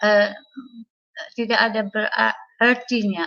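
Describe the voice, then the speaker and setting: A woman talks at a very slow pace, her pitch fairly high. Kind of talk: testimony. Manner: halting, many fillers.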